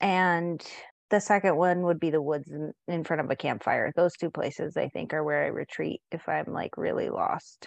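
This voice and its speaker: With an American accent, a woman speaks at a moderate pace against a quiet background, the sound dry and close with no echo. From San Diego, California. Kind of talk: casual chat.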